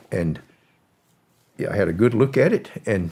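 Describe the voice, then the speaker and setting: Speaking at a moderate pace, a man has a Southern US accent. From US South, Florida. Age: 80s+. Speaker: former drug smuggler. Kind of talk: interview storytelling.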